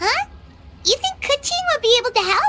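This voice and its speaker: A woman puts on a squeaky character voice pitched extremely high, talking at a moderate pace. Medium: video game. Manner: bright, lively.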